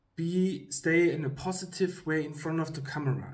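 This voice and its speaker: A man's fairly high, somewhat breathy voice with ordinary pitch variation and audible room echo. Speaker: YouTuber giving career advice. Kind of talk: casual talk to camera. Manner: halting, many fillers.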